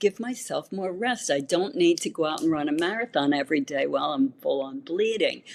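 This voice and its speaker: Her pitch swings very widely as a woman talks at a moderate pace. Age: 60s. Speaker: naturopathic physician. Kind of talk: interview.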